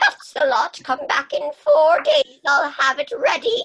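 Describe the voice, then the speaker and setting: A woman uses a put-on character voice with a high pitch and lively intonation. She goes at a fairly slow pace, and the sound is dry and close with no echo. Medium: stage play. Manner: storytelling, weary.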